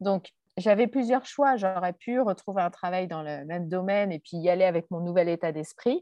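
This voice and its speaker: Her loudness swings a lot from moment to moment. The woman speaks at a medium pitch with ordinary pitch variation. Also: moderate pace. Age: 40s. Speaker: entrepreneur and online coach. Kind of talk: interview. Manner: hesitant, many fillers.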